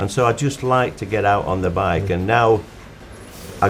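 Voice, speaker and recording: A man with a Yorkshire accent at a moderate pace, against noticeable background noise. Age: 80s+. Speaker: motorcyclist. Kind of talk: interview testimony.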